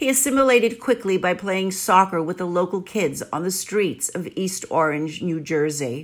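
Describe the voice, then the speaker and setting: A woman's lively intonation at a medium pitch and a moderate pace. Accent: New York. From New York City. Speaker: blogger. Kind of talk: scripted narration.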